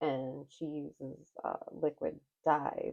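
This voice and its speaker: A soft-spoken woman. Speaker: craft vlogger. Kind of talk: casual tutorial vlog. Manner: quiet, soft-spoken; halting, many fillers.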